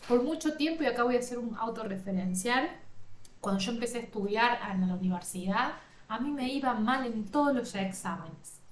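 A woman talks at a moderate pace with lively intonation and a fairly high pitch. Audible room echo surrounds her voice. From Argentina, interior of Córdoba (Villa María). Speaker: life coach and podcast host. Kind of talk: self-help podcast monologue.

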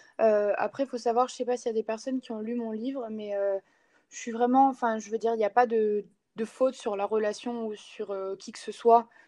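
A woman talks at a fairly quick pace in a fairly high pitch with a dark, mellow tone. Her intonation stays monotone and flat while her loudness swings widely. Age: 20s. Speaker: sports coach. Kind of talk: casual interview.

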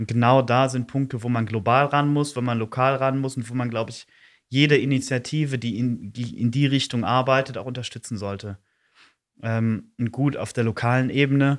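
A plain, everyday voice from a man, its intonation fairly even. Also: medium pitch for a man, moderate pace, very clean recording, silent background. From East Belgium (German-speaking Community). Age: 20s. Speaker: youth council chair. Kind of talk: podcast interview.

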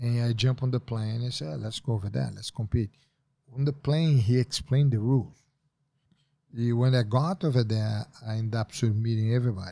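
In a Portuguese accent, a man with a dark, mellow tone and medium pitch speaks at a fairly quick pace with ordinary pitch variation on a very clean recording with a silent background. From Brazil. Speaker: jiu-jitsu master. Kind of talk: casual interview.

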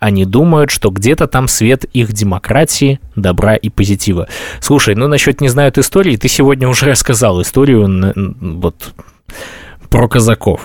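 A man with a normal speaking voice at medium pitch, lively intonation, very even loudness and a fairly slow pace, in a dry, close sound with no echo. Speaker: podcast host. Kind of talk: casual chat.

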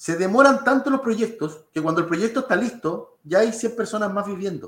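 A man's high-pitched voice moves at a middling speed, its pitch shifting in a usual way. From Chile, Lolol (sixth region). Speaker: government official. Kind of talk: interview.

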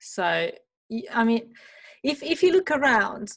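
With a non-native accent, a woman speaks at a fairly slow pace. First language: not English. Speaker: podcast host. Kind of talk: casual interview. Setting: video call. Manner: halting.

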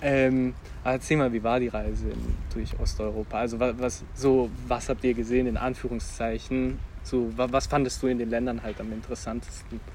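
At a moderate pace, a man speaks while noticeable noise sounds in the background. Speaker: podcast host. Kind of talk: casual chat. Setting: outdoors.

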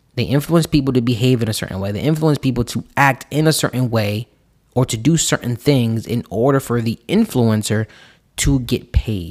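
On a very clean recording with a silent background and a dry, close sound with no echo, a man with a normal speaking voice talks at a medium pitch and moderate pace with ordinary pitch variation. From US, Puerto Rican family. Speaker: financial coach podcast host. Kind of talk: solo podcast monologue.

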